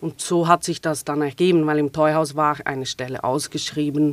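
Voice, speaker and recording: This woman, with a Swiss German accent, talks in a very deep, low pitch with monotone, flat intonation. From Switzerland. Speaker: theater manager. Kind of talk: casual interview.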